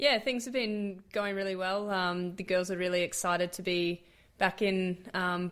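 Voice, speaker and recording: On a very clean recording with a silent background, a woman at a medium pitch talks at a moderate pace with an Australian accent. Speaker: professional cricketer. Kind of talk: interview.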